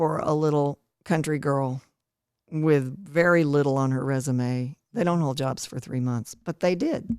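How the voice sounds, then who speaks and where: With a Southern US accent, a woman talks fairly slowly in a very deep, low voice with ordinary pitch variation. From East Tennessee. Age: 60s. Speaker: retired TV broadcaster. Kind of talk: interview.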